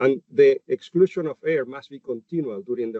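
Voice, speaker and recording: With a Chilean accent, a man speaks at a moderate pace, his fairly high pitch moving in lively intonation. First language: Spanish. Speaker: animal nutritionist. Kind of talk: webinar presentation. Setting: webinar. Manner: halting, many fillers.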